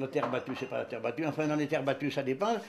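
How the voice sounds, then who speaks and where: There is noticeable background noise as a man talks in a fairly high pitch. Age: 70s. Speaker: traditional dancer. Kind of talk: interview. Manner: halting.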